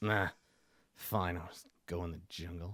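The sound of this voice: A man puts on a gruff character voice with a very deep, low pitch. He speaks at a moderate pace in a monotone, flat delivery.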